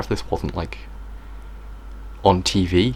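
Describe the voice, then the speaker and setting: A man talks with ordinary pitch variation while noticeable background noise fills the recording. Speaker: video creator. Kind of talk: tutorial. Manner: soft-spoken.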